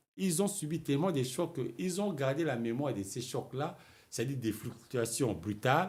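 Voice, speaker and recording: A man's medium-pitched, somewhat breathy voice at a fairly slow pace, with very wide pitch swings. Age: 60s. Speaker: writer and political commentator. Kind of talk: political talk show interview. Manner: halting, repeats words.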